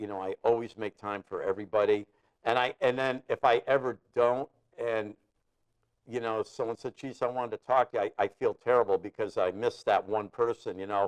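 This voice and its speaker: A man's plain, everyday voice at medium pitch, fairly quick and fairly even in intonation, in a dry, close sound with no echo. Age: 60s. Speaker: guitarist. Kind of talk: casual chat. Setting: studio.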